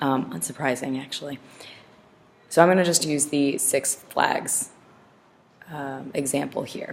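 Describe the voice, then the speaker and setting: Long, frequent pauses and big swings in loudness mark this voice, which has ordinary pitch variation over noticeable background noise. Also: woman, very deep, low pitch for a woman, fairly slow pace. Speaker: teacher. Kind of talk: lecture.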